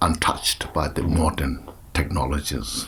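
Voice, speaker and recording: A man talks very slowly while noticeable background noise carries on behind him. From Tibet. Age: 60s. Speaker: Buddhist teacher. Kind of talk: interview. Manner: halting, with many fillers.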